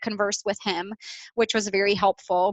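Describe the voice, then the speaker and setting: This woman has a Midwestern accent and a medium pitch. She talks at a moderate pace with monotone, flat intonation. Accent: American Midwest. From Bosnia, raised from childhood in Iowa. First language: Bosnian. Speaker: business manager. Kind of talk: interview. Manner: hesitant, many fillers.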